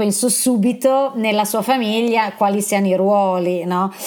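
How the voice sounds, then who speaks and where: A woman is speaking at a medium pitch. She has a normal speaking voice. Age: 50s. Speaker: podcast host. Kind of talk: interview.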